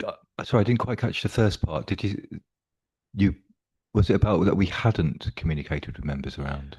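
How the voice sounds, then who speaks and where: A man speaks fairly quickly in a fairly low, somewhat breathy voice with lively intonation. His pauses are long and frequent. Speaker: pension fund officer. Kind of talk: committee meeting.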